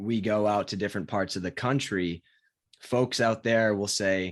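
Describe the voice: Fairly low in pitch, a man talks in a General American accent. His pace is fairly slow and his intonation fairly even.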